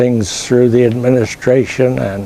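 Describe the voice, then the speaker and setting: A man with an American accent speaks at medium pitch with fairly even intonation amid noticeable background noise. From US Mountain West (rural Utah). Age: 80s+. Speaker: professor and plant breeder. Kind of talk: interview. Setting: trade expo. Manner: halting, frequent uh fillers.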